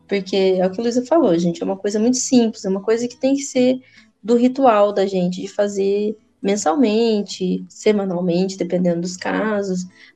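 At a moderate pace, a woman speaks with a medium pitch, ordinary pitch variation, and a dark, mellow tone. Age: 20s. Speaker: podcast co-host. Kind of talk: casual chat.

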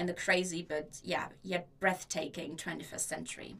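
Speaking with a German accent, a woman uses a fairly low pitch, a bright, sharp tone, vocal fry and fairly even intonation. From Germany. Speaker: podcast host and student. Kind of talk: solo podcast introduction.

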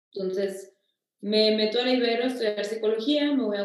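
In a normal speaking voice, a woman talks at a fairly quick pace, her fairly high pitch held in fairly even intonation. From Mexico, Torreón. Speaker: nutrition and wellness consultant. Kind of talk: casual interview, personal testimony.

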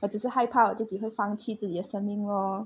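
With a somewhat breathy voice, a woman speaks at a fairly high pitch and a moderate pace. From Malaysia. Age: 20s. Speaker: podcast co-host, university student. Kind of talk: casual chat.

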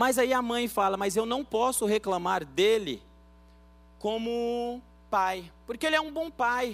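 A man speaks at an extremely high pitch with ordinary pitch variation. His pace is very slow, and there is noticeable background noise. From Bahia, Brazil, raised in São Paulo. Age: 30s. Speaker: pastor. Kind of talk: sermon.

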